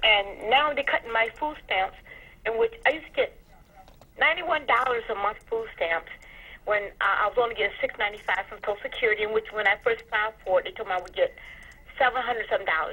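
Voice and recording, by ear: Her tone bright and sharp with a slightly husky edge, a woman speaks at a fairly quick pace and a fairly high pitch with ordinary pitch variation.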